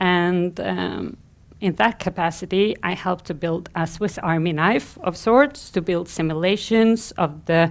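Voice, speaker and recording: A woman has a plain, everyday voice with a fairly low pitch and ordinary pitch variation. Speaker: conference speaker. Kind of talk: conference talk. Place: stage.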